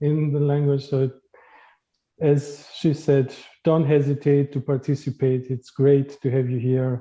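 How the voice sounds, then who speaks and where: Speaking at a fairly slow pace, a man uses a fairly high pitch and a dark, mellow tone. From Greece. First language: Greek. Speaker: diversity trainer. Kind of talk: workshop facilitation. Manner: hesitant, many fillers.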